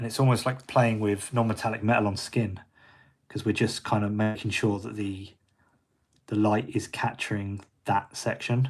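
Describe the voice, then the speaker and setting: A man's fairly low, monotone, flat voice at a moderate pace in a very clean recording with a silent background. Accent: British. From Britain. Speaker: miniature painter. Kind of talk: live painting tutorial. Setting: livestream. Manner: casual, hesitant with fillers.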